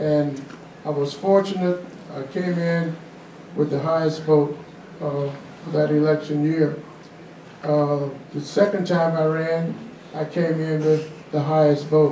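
Monotone, flat delivery from a man at a fairly slow pace, with long, frequent pauses, audible room echo and light background noise. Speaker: guest. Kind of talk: storytelling interview answer. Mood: warm, humorous reminiscing. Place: hall.

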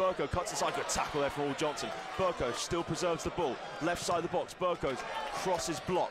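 Over noticeable background noise, a man talks at a very fast pace in a high voice, with an animated tone and ordinary pitch variation. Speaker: football commentator. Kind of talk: live match commentary over highlights. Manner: fast, rapid-fire play-by-play; animated, rising with big moments.

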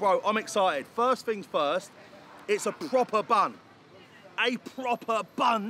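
In a raised, projected voice, a man speaks at a very slow pace, the sound dry with no echo and light background noise. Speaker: food reviewer. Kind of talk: casual vlog chat. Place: street.

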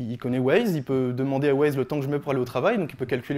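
A man's dark, mellow voice at a very fast pace with fairly even intonation. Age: 20s. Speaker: software developer giving a tech talk; speaker. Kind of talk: presentation talk. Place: hall. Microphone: handheld.

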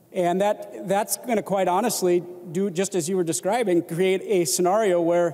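With an American accent, a man speaks in a high pitch and fairly even intonation. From Minnesota. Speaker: state legislator. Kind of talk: legislative floor debate. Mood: measured, critical. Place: hall. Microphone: handheld.

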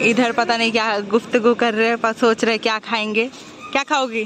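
A woman speaks at a fairly slow pace in a high voice. Crowd noise sits in the background, and the sound is dry with no echo. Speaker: food vlogger. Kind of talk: casual vlog chat. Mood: cheerful, chatty. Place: street. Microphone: phone near.

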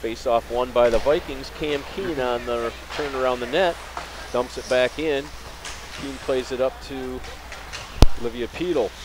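With an American accent, a man talks at a fairly slow pace with long, frequent pauses and ordinary pitch variation, the sound dry with no echo but with noticeable background noise. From US Midwest. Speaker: sports commentator. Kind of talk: live commentary. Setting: commentary booth at ice rink. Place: stadium.

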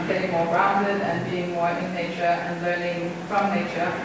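A woman speaks at a moderate pace. Noticeable background noise and strong room echo fill the recording. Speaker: presenter. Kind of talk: lecture. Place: classroom. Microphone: camera far.

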